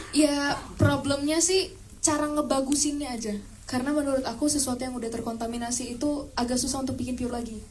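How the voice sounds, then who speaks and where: Through audible room echo and noticeable background noise, a woman with a high pitch speaks at a very fast pace with fairly even intonation. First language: English (speaking Indonesian). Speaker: actress. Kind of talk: press event talk.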